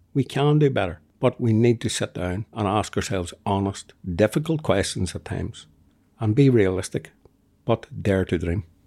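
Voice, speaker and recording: A man with a Northern Irish accent speaks at a fairly low pitch with lively intonation. The recording is very clean, with a silent background and a dry, close sound with no echo. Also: moderate pace. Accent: Northern Irish (Tyrone). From Northern Ireland, County Tyrone. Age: 50s. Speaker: podcaster and community group founder. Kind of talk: interview conversation.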